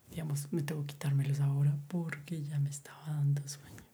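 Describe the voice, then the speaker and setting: A soft-spoken man talks at a fairly slow pace in a fairly high, somewhat breathy voice. His tone is dark and mellow, and his intonation is monotone and flat. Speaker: ASMR YouTuber. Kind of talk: soft-spoken ASMR monologue. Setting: home recording at night. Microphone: far from the mic.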